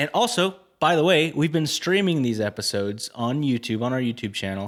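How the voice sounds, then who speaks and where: A man with an American accent and a medium pitch swings very widely in a very clean recording with a silent background. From Florida. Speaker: podcast host. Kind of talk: casual chat.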